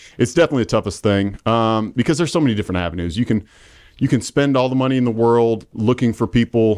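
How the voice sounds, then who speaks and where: Against a quiet background, a man with a Midwestern US accent talks at a very fast pace and a medium pitch, with ordinary pitch variation. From Indiana (Marion). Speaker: real estate agent. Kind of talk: casual interview. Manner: halting, many fillers.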